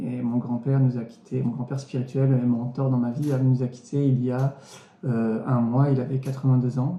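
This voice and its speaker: This man's voice sits at medium pitch, with a dark, mellow tone and a somewhat breathy quality. His intonation stays monotone and flat. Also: moderate pace. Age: 30s. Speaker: churchgoer giving testimony. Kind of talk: testimony. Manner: hesitant, many fillers.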